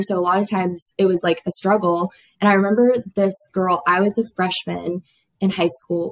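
An ordinary speaking voice from a woman with an American accent, medium pitch, fairly even intonation and a moderate pace. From South Florida. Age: 20s. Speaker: nursing student. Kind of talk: casual chat.

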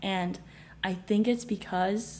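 Her voice has a dark, mellow tone and is somewhat breathy. The woman speaks at medium pitch. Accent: American. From US West Coast, San Francisco Bay Area. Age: 20s. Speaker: finance worker. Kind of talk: casual chat. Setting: at home.

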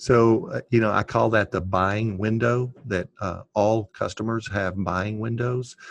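Speaking fairly slowly with hardly any pauses, a man has a plain, everyday voice of medium pitch and fairly even intonation, recorded with a dry, close sound with no echo. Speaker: podcast host. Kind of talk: casual interview.

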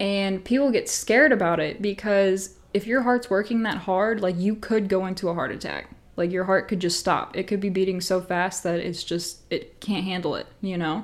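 A woman talks at a medium pitch in an unremarkable speaking voice. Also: fairly even intonation, moderate pace, hardly any pauses. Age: 20s. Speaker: podcast host. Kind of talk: casual solo chat.

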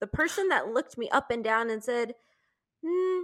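A raised, projected voice with a bright, sharp tone on a very clean recording with a silent background. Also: woman. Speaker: podcast co-host. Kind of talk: casual chat. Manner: excitable.

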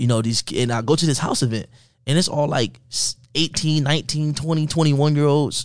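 Here a man with an American accent has an unremarkable speaking voice. His pace is fairly quick and his intonation fairly even, over a quiet background. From Miami, Florida. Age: 20s. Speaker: network and affiliate marketer. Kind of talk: casual interview.

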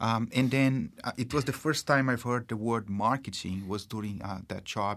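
With a Brazilian accent, a man talks at a moderate pace in a medium pitch with fairly even intonation, on a very clean recording with a silent background. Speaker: marketing executive. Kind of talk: casual interview. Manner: halting, full of fillers.

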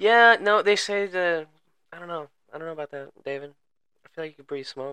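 A man with a high pitch and a bright, sharp tone speaks at a fairly quick pace, with ordinary pitch variation and big swings in loudness, in a dry, close sound with no echo. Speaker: podcast host. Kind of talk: casual chat.

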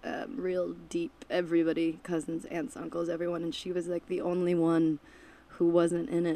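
At a moderate pace, a woman with an American accent speaks in a fairly low pitch with a dark, mellow tone and ordinary pitch variation. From Michigan. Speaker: musician. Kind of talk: casual chat. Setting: basement of a music venue.

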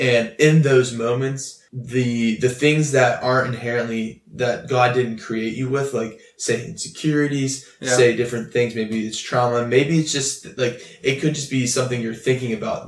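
A man with a normal speaking voice and a medium pitch talks at a moderate pace with fairly even intonation and hardly any pauses. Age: 20s. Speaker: youth pastor. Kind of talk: casual chat.

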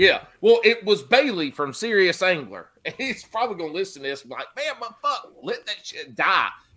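A man's raised, projected voice with a Southern US accent, high in pitch, at a moderate pace, with very wide pitch swings and big shifts in loudness. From Carolinas, US South. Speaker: fishing podcast host. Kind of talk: casual chat.

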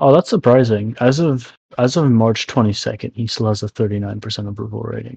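A man talks at a moderate pace with medium pitch and ordinary pitch variation, his tone dark, mellow and somewhat breathy. The sound is dry and close, with no echo. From immigrant to Canada from a developing country. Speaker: podcast co-host. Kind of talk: casual chat.

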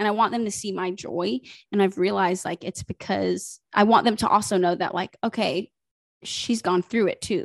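Speaking with an American accent at a moderate pace, a woman uses a medium pitch, ordinary pitch variation and vocal fry. The sound is dry and close with no echo, over a quiet background. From US South, South Carolina (Greenville). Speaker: social media influencer. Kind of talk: casual chat. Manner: animated.

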